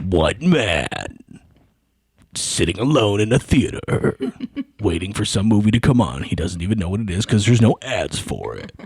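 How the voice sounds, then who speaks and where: A man puts on a character voice. It sits fairly low and moves at a moderate pace. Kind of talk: dramatic trailer narration.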